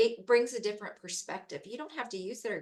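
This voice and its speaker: A woman speaks at a moderate pace in a plain, everyday voice, pitched fairly high. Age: 40s. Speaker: program organizer. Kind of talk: panel discussion.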